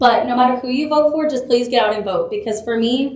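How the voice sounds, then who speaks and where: A woman with an American accent, ordinary pitch variation, audible room echo and noticeable background noise. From Texas. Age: 20s. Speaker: political candidate. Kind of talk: campaign speech. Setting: public forum with audience.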